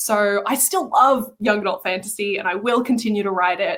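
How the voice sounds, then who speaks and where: In an unremarkable speaking voice, a woman speaks at a fairly quick pace, her fairly high pitch showing ordinary variation. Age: 20s. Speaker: debut novelist. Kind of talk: podcast interview.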